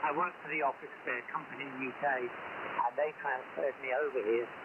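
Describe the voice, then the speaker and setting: A man with a fairly high pitch and fairly even intonation, at a fairly quick pace over noticeable background noise. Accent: English. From England, Cambridge. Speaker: radio amateur. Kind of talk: casual chat. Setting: radio contact.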